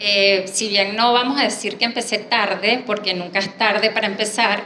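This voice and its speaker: A woman speaks at a medium pitch with a monotone, flat delivery. Noticeable background noise and audible room echo fill the recording. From Venezuela, Caracas. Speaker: artist and graphic designer. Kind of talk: panel talk, personal presentation.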